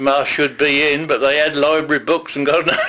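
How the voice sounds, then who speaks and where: A man's bright, sharp tone, fairly high in pitch, with fairly even intonation. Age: 80s+. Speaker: war-time witness. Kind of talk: oral history interview. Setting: at home. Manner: halting.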